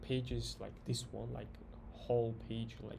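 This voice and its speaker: A man with a non-native accent, fairly slow delivery and audible room echo. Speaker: software developer tutorial creator. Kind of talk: coding tutorial. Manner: halting, many fillers and restarts.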